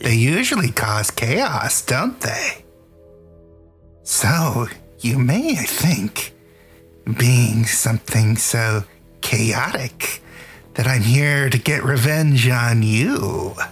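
Clear music plays in the background. A man uses a put-on character voice, medium in pitch, at a very slow pace. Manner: scheming, theatrical.

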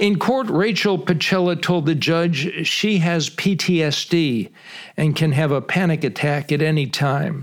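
At a fairly slow pace, a normal speaking voice holds very even loudness and ordinary pitch variation. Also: man, fairly high pitch for a man. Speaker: retired TV news reporter and podcast host. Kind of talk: scripted narration.

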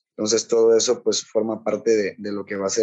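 He speaks in a fairly low voice. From southern Mexico, Chiapas coast. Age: 20s. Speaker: energy engineer and youth organization founder. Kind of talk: interview. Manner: halting, many fillers.

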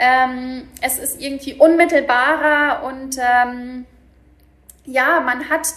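This woman's voice sits high in pitch. Her intonation stays fairly even. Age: 30s. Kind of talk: interview. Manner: hesitant, many filler words.

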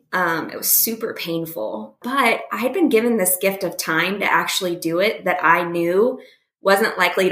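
In a plain, everyday voice, a woman talks at a fairly slow pace with a medium pitch and lively intonation. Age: 40s. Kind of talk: casual chat. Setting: remote call.

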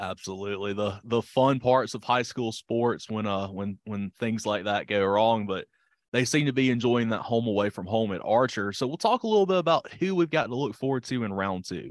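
A man speaks in a plain, everyday voice at medium pitch and a moderate pace, with ordinary pitch variation, hardly any pauses, and a dry, close sound with no echo against a quiet background. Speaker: co-host announcer. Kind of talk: news and ad reading.

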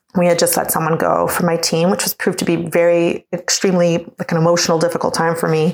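A woman talks at a very fast pace with a fairly low pitch. Noticeable background noise runs underneath. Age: 40s. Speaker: office manager and former actor. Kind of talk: recorded listener question.

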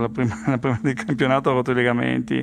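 Noticeable background noise fills the recording. Through it, a man talks at a medium pitch. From Friuli, north-east Italy (born near Paris). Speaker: kidney donor partner. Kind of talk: interview testimony. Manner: halting.

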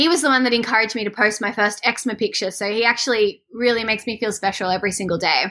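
A woman with an Australian accent has a fairly high, bright, sharp voice and ordinary pitch variation. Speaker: swimwear brand founder. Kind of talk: casual interview. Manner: animated.

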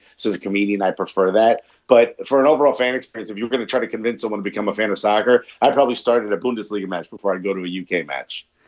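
Speaking very fast with hardly any pauses, a man with a New York accent uses a fairly low pitch and ordinary pitch variation. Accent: New York American. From New York, US. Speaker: comedian. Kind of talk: casual chat.

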